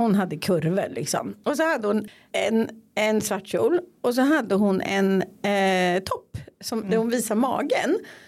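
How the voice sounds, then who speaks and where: An ordinary speaking voice from a woman, fairly high in pitch and fairly slow, with lively intonation and very even loudness, on a very clean recording with a silent background. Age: 50s. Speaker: podcast host. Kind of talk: casual chat.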